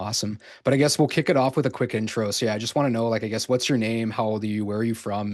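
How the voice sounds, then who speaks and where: Against a quiet background, the speaker talks at a very fast pace in a Canadian accent with fairly even intonation. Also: man. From Canada. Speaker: podcast host. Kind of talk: interview. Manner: casual, filler-heavy.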